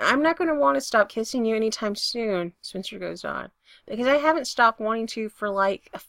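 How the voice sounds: The background has little noise. Someone reads in a natural voice with lively intonation.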